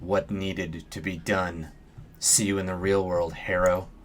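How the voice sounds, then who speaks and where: Putting on a character voice, a man speaks at a moderate pace with a very deep, low pitch and monotone, flat intonation, while clear background noise runs underneath. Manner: strangely calm.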